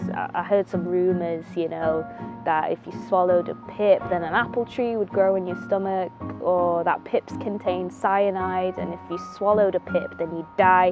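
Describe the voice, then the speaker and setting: With a Mancunian accent, a woman at a medium pitch talks at a moderate pace while music plays in the background. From Manchester. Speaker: actor. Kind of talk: film monologue. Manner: reflective, casual.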